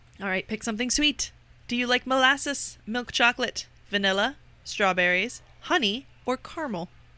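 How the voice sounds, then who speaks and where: In an American accent, the speaker has a bright, sharp tone, a moderate pace and ordinary pitch variation, on a very clean recording with a silent background. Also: woman, high pitch for a woman. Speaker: podcast co-host. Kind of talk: casual chat.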